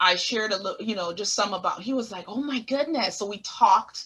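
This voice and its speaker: A bright, sharp tone in a Caribbean accent, with ordinary pitch variation. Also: woman. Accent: Caribbean island. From US Virgin Islands (Saint Thomas). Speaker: therapist. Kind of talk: interview.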